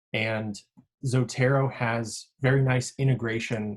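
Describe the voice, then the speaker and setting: Against a quiet background, a man talks in a somewhat breathy voice with fairly even intonation. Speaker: grad school podcast co-host, sleep researcher; grad school podcast co-host. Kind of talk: tutorial. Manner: monotone. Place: home room. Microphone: video call.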